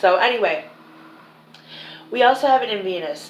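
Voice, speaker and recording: Audible room echo hangs around a woman as she talks. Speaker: psychic medium. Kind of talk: psychic reading monologue. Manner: filler-heavy, halting.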